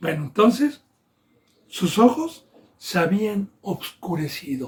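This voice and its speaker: A man talks very slowly in a high pitch. His voice makes very wide pitch swings. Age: 60s. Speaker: pastor. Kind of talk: sermon.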